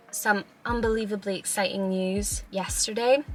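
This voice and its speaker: Over noticeable background noise, a woman talks with a Scottish accent. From Scotland. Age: 20s. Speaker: YouTuber. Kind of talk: casual talk to camera.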